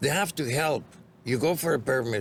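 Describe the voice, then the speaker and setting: A man speaks with a Greek accent. His pace is moderate. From Greece. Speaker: bar and restaurant owner. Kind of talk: interview.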